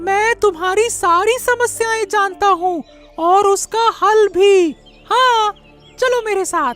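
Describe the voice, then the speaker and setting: A cartoonish character voice speaks at a fairly slow pace. Faint music plays in the background. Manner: calm, wise.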